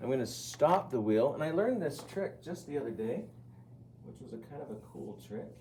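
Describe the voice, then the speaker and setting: A man with a medium pitch speaks at a moderate pace, his loudness swinging widely. His intonation is lively, and room echo is audible. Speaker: ceramics teacher. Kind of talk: classroom demonstration.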